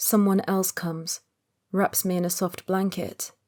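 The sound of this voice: An unforced reading voice against quiet surroundings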